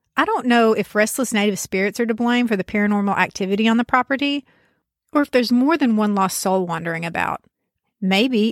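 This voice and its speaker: A woman speaks fairly fast with a fairly high voice. The recording is very clean, with a silent background and a dry, close sound with no echo. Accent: rural Southern US. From US South, rural backwoods. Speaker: podcast host. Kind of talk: storytelling narration.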